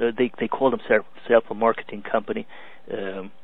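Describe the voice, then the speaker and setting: At a fairly quick pace, a man with a Hungarian accent speaks at medium pitch in a monotone, flat intonation. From Romania, Hungarian minority. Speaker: business coach. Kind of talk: webinar presentation. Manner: halting, many fillers.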